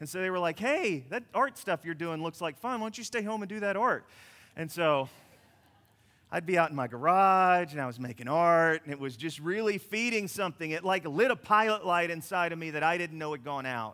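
A man talks at a fairly quick pace with a high pitch and lively intonation. His tone is bright and sharp, and the recording is very clean with a silent background. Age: 50s. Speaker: pastor. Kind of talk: sermon.

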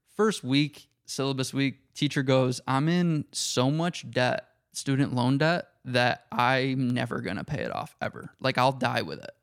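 On a very clean recording with a silent background, a man with an ordinary speaking voice speaks at a fairly slow pace, his medium pitch showing ordinary variation. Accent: American. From upstate New York, Syracuse. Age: 20s. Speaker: podcast guest. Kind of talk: casual chat.

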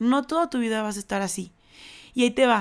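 The recording is very clean, the background silent. A woman talks at a fairly quick pace in a fairly high voice. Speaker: podcast host. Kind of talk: solo monologue. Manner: fast.

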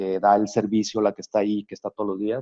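The speaker is a man. His pitch sits fairly low. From Sonora, northern Mexico. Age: 50s. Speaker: architect and business owner. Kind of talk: interview. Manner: halting, frequent fillers.

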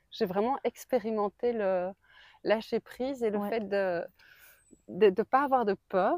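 On a very clean recording with a silent background and a dry, close sound with no echo, a woman speaks fairly slowly with long, frequent pauses and ordinary pitch variation. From Belgium. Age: 40s. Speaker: pilgrim recounting her walk. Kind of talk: interview testimony. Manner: hesitant, many fillers.

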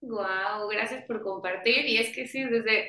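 With a normal speaking voice, a woman talks at a fairly high pitch and a moderate pace, using ordinary pitch variation. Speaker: podcast host. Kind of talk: casual interview chat. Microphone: audio and microphone problems.

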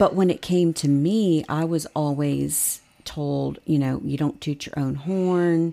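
In a very clean recording with a silent background, a woman with an American accent speaks very slowly in a very deep, low voice with a dark, mellow tone and fairly even intonation. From Virginia. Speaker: interview guest. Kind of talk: casual interview. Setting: studio.

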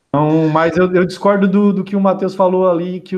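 A high-pitched man with fairly even intonation against a quiet background. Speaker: football podcast host. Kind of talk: casual chat.

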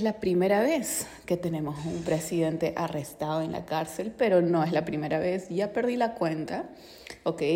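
A woman talks at a fairly slow pace and fairly low pitch, with ordinary pitch variation and noticeable background noise. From Peru. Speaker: financial educator. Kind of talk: casual podcast monologue on finance and politics. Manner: conversational, frequent 'ok?' tags.

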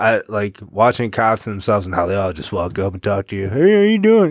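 A man with a plain, everyday voice talks at medium pitch and a fairly quick pace. His pitch varies in an ordinary way, and the sound is dry and close with no echo. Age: 30s. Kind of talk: casual chat. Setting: basement home recording.

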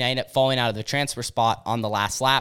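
A man speaks loudly at a very fast pace, his tone bright and sharp. His pitch is medium with fairly even intonation. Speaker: podcast host and dirt track racer. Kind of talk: casual chat.

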